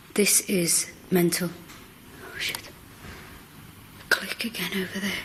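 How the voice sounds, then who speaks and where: Noticeable background noise accompanies whispering that moves at a very slow pace, broken by long, frequent pauses. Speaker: paranormal investigator. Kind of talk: live ghost-hunt commentary. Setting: museum.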